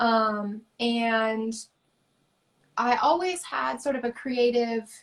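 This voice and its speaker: A woman speaks very slowly in a high pitch with an American accent. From US South, rural. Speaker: artist. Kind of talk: interview.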